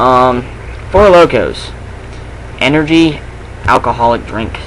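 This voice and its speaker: Fairly slow speech with ordinary pitch variation over noticeable background noise. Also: man, fairly high pitch for a man. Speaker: vlogger. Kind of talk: rant. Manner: casual, swearing.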